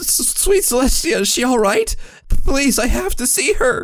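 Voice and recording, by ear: In a put-on character voice, a man speaks at an extremely high pitch with big pitch swings. His pace is moderate.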